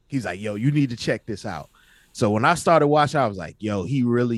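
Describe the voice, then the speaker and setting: A man's plain, everyday voice, medium in pitch with lively intonation, dry and close with no echo, in a very clean recording with a silent background. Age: 40s. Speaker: rapper and podcast co-host. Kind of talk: casual chat.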